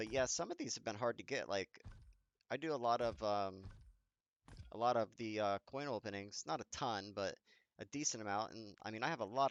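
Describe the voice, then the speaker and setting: Pausing long and often, a man with a fairly low pitch and ordinary pitch variation speaks at a moderate pace, the sound dry and close with no echo. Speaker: gaming youtuber. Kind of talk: tutorial. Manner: casual with many fillers.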